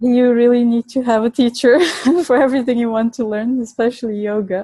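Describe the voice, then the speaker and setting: Her high-pitched voice moves at a fairly quick pace. The woman's intonation is monotone and flat. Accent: Bulgarian. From Bulgaria. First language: Bulgarian. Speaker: Ayurvedic nutrition educator and chef. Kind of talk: interview. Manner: halting.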